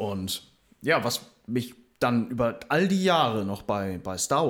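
On a very clean recording with a silent background, a man speaks very slowly at medium pitch with lively intonation. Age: 20s. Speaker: podcast co-host, landscape gardener. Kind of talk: casual chat. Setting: same room.

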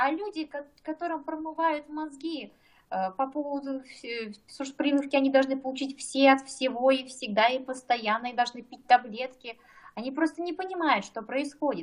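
Here a woman talks at a moderate pace with a high pitch. Her pitch varies in an ordinary way, but her loudness swings widely. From Kazakhstan. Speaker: doctor. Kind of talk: casual chat.

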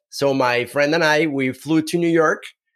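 The speaker has a Mexican accent and ordinary pitch variation. The pace is moderate. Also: man. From Mexico. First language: Spanish. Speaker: startup co-founder and storytelling consultant. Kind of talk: casual interview chat.

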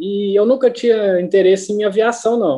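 At a moderate pace, a man speaks with a high pitch, ordinary pitch variation, and a dark, mellow tone. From Brazil, Minas Gerais (Uberlândia). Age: 30s. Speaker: agricultural pilot. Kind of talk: casual interview.

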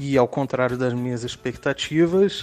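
Music runs in the background. The talking keeps a moderate pace. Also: man. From Rio de Janeiro, Brazil. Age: 30s. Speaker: listener sharing a personal story. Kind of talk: recorded personal testimony.

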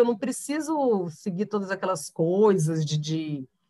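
A woman talks at a fairly slow pace. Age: 40s. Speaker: journalist. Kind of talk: casual chat.

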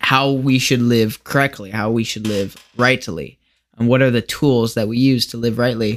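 A man with an American accent speaks at a moderate pace and medium pitch in an unremarkable speaking voice, with fairly even intonation. The recording is very clean, with a silent background. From US Midwest (Lincoln, Nebraska). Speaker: podcast guest with theology interest. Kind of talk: casual interview chat. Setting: home basement, shared mic.

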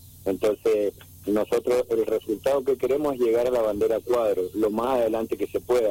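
The sound is close and dry, without any echo. A man talks at a moderate pace. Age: 40s. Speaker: racing driver. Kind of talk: interview.

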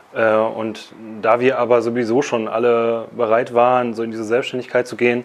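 Noticeable background noise sits behind a man talking. His medium pitch stays monotone, with flat intonation. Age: 30s. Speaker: company founder and CEO. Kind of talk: casual interview. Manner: halting, many fillers.

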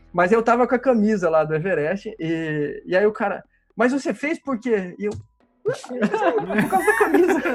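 This man speaks at a fairly slow pace in a high voice. His pitch swings very widely. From Brazil, interior of Paraná. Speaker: amateur cyclist. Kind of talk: casual chat. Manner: halting, many repetitions.

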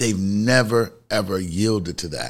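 On a very clean recording with a silent background, a man with a New York accent speaks at a moderate pace with ordinary pitch variation. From Bronx, New York. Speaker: podcast co-host, marketing speaker. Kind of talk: casual chat.

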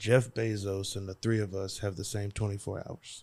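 On a very clean recording with a silent background, a man with a Louisiana accent talks fairly slowly in a monotone, flat intonation. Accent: Louisiana Southern US. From Louisiana, US South. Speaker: motivational speaker and business coach. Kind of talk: casual chat.

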